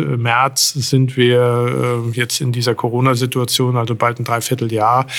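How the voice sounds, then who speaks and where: A man speaks at medium pitch. His delivery is very slow. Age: 40s. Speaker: police chief. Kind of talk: interview. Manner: hesitant, many filler sounds.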